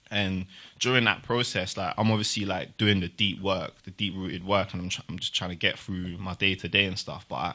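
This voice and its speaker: Very deep and low in pitch yet bright and sharp in tone, a man with a South London accent keeps his intonation fairly even. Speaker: multidisciplinary artist and youth support worker. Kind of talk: podcast interview answer. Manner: casual.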